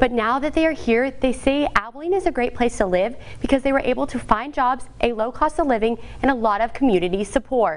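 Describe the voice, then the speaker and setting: Using an American accent, a woman speaks at a high pitch and fairly quick pace with ordinary pitch variation. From Texas. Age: 20s. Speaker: TV news reporter. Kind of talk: TV news package narration. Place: studio.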